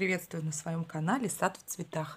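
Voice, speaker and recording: A woman's somewhat breathy voice, fairly low in pitch, with ordinary pitch variation. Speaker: gardening vlogger. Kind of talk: casual vlog chat. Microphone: phone near.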